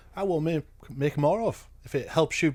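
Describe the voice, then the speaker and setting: A somewhat breathy man speaks in a northern English accent with ordinary pitch variation. The recording is very clean, with a silent background. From northern England. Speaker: reaction youtuber. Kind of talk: casual reaction commentary.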